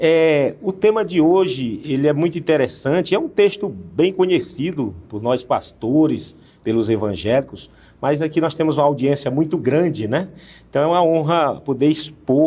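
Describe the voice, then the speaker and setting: A man with a fairly high pitch talks at a moderate pace using lively intonation. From Northeast Brazil. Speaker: pastor and TV presenter. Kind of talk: TV Bible study dialogue. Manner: halting, many fillers.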